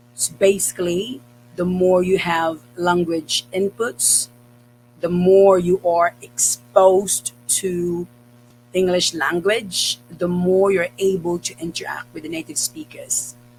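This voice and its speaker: With music in the background, a man with a Cebuano accent speaks at a very slow pace, his pitch high and its variation ordinary. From Philippines. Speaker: English teacher. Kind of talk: tutorial.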